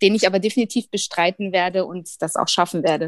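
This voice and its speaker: The recording has a dry, close sound with no echo. A woman speaks with ordinary pitch variation. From Bavaria. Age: 40s. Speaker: former coaching program participant. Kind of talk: interview. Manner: hesitant, many fillers.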